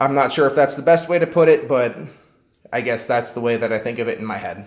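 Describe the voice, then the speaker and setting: Very fast speech from a man at a medium pitch, with ordinary pitch variation. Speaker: student. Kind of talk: class assignment video explanation. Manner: halting, hesitant with fillers.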